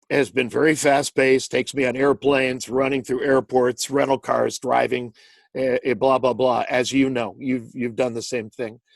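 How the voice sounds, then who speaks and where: A plain, everyday voice from a man at medium pitch and fairly slow pace, dry and close with no echo. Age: 60s. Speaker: sports announcer. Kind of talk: interview answer. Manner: conversational, reflective.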